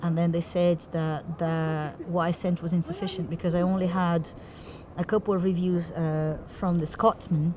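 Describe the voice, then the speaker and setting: At a moderate pace, a woman speaks in a fairly low, monotone voice with flat intonation. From Brazil. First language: Portuguese. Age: young. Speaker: theatre director. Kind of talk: interview. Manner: articulate.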